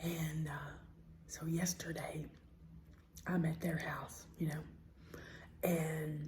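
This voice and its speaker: Over noticeable background noise, a woman with an American accent speaks at a very deep, low pitch and a very slow pace, with monotone, flat intonation and long, frequent pauses. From Southern US. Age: old. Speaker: ASMR eating creator. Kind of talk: casual talk to camera.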